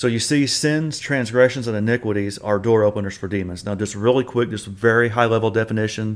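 A man's normal speaking voice, medium in pitch, with fairly even intonation and a fairly quick pace. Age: 40s. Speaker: podcast host, deliverance ministry teacher. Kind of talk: bible teaching.

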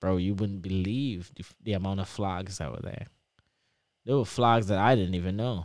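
A man with an American accent talks at a moderate pace. His pitch is fairly low, with ordinary pitch variation. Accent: Trinidadian English, shifting toward American. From Trinidad and Tobago. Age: 20s. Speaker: PhD student. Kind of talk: casual interview chat.

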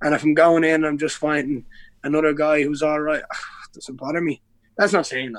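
Loudness swings a lot as a man with a Dublin accent speaks at a fairly quick pace, his fairly high pitch holding fairly even intonation. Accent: Irish (Dublin). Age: 20s. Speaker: MMA fighter. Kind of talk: casual chat.

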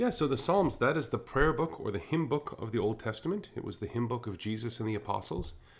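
Speaking at a very fast pace with hardly any pauses, a man uses lively intonation in a medium pitch, his voice somewhat breathy. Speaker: pastor. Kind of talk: casual chat. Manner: trails off at sentence ends.

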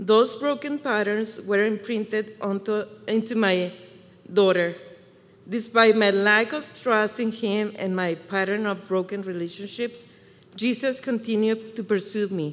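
A woman speaks at a fairly slow pace in a Mexican accent. Her pitch is fairly high and her intonation fairly even. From Mexico. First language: Spanish. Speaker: church member. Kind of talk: testimony. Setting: church service with congregation.

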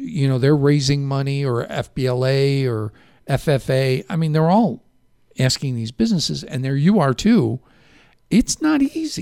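Lively intonation runs through speech at a moderate pace. The tone is dark and mellow, with a slight Chicago accent. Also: man, fairly high pitch for a man. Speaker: local radio talk show host. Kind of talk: casual radio interview. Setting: radio studio.

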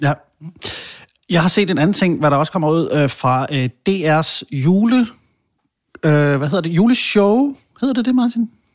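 The speech moves at a fairly slow pace with long, frequent pauses and very wide pitch swings. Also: man, high pitch for a man. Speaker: podcast host. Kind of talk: casual banter.

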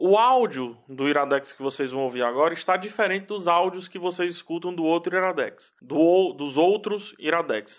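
Hardly any pauses break up this delivery with lively intonation. The background is quiet. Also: man, high pitch for a man, moderate pace. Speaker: podcast host.

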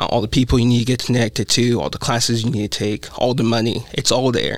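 Through noticeable background noise, a man of medium pitch speaks at a very fast pace with fairly even intonation. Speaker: college student. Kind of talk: casual chat.

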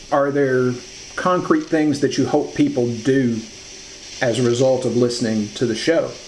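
A man at medium pitch and a moderate pace, very even in loudness, with fairly even intonation over noticeable background noise. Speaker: interviewer. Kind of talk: interview.

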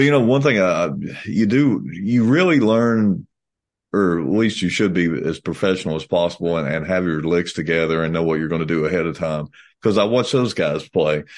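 With a Kentucky accent and lively intonation, the speaker talks at a fairly quick pace over a quiet background. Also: man, very deep, low pitch for a man. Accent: US Southern (Kentucky). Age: 50s. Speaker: country musician. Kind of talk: casual chat.

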